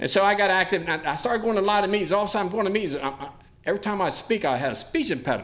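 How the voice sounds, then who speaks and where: Lively intonation at a very fast pace, with audible room echo. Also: man, high pitch for a man. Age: 60s. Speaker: recovery speaker. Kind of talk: testimony. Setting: stage with audience.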